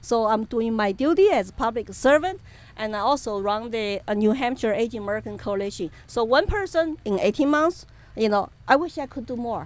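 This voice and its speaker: In a Chinese accent, a woman talks at a fairly quick pace with a fairly high pitch and lively intonation. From China, Chengdu, Sichuan. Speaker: political activist. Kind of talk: interview. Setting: outdoor event. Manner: animated.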